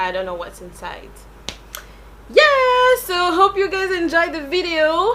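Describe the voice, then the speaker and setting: A raised, projected voice talks at a fairly slow pace with long, frequent pauses and big swings in loudness. Noticeable background noise is present. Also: woman, extremely high pitch for a woman. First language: French. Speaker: beauty vlogger. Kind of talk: product review. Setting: home recording at night.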